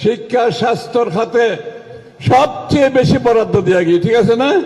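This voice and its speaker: A man talks at an extremely high pitch, his loudness very even. Noticeable background noise runs underneath. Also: ordinary pitch variation. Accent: Chittagong. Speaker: government minister. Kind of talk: political speech.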